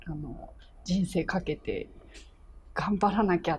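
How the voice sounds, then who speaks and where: A woman speaks with light background noise. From Japan, Chiba; Japan. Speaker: orchestra cellist. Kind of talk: interview. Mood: happy, reflective. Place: meeting room.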